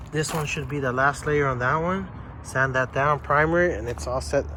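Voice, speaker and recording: A man talks at a moderate pace and with ordinary pitch variation while noticeable background noise is present. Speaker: DIY car repair youtuber. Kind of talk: tutorial. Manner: casual.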